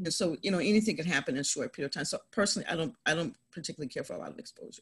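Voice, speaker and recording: At a very fast pace, a woman speaks in a somewhat breathy, medium-pitched voice with very wide pitch swings and big swings in loudness. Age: 50s. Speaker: real estate investor. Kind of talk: interview. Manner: animated.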